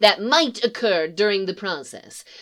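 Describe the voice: Plain reading of a text aloud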